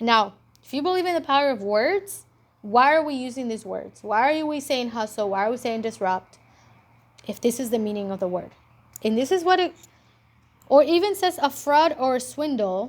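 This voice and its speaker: An animated tone in a non-native accent, at a moderate pace with very wide pitch swings and long, frequent pauses. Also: woman, high pitch for a woman. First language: not English. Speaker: entrepreneur and vlogger. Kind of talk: casual monologue vlog. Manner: animated, with many fillers and restarts.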